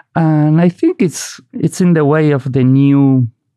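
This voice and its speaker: Very slow and in a Basque accent, a man speaks with a dark, mellow tone and ordinary pitch variation, the sound dry and close with no echo. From Basque Country, Spain. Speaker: poet and novelist. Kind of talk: interview conversation.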